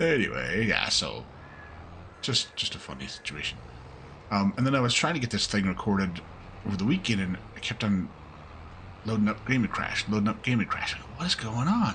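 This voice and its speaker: At a fairly quick pace, a man with a fairly low pitch, a bright, sharp tone, and vocal fry uses lively intonation but leaves long, frequent pauses. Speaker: gaming YouTuber. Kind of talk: casual gameplay commentary. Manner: relaxed, with many fillers.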